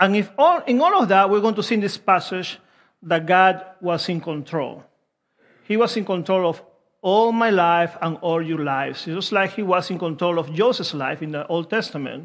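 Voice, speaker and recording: At a moderate pace, a man with a Peruvian accent speaks in a high pitch with ordinary pitch variation against a quiet background. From Peru (Lima). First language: Spanish. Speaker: preacher. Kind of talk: sermon. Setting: church.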